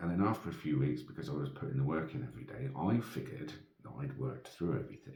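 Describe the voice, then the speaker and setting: Soft-spoken and very fast, a man with a very deep, low pitch and a dark, mellow tone uses very wide pitch swings and vocal fry, with audible room echo around him. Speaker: vlogger. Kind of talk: casual monologue. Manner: hesitant.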